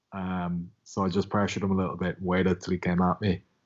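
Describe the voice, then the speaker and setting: A man talks with an Irish accent. His pace is very fast. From Ireland. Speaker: MMA fighter. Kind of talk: casual interview.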